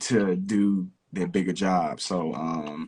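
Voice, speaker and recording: Fairly low in pitch, a man with an Arkansas accent speaks with fairly even intonation. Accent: Southern US (Arkansas). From US South, Camden, Arkansas. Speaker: rapper. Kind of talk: interview.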